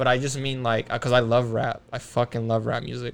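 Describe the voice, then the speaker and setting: A man of medium pitch talks with a Spanish accent. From Mexico City, Mexico. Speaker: podcast guest. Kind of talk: casual chat.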